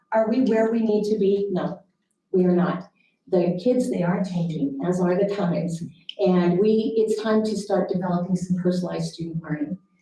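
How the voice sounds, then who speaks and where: A woman talks at a moderate pace in a plain, everyday voice, with ordinary pitch variation. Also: medium pitch for a woman. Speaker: school district administrator. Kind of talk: board meeting presentation.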